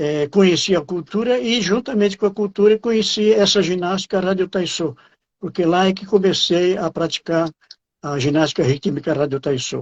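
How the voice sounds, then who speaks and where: A man's high-pitched voice moves at a moderate pace, its pitch varying in an ordinary way. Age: 80s+. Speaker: exercise association director. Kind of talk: interview. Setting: online live stream. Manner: halting, many fillers.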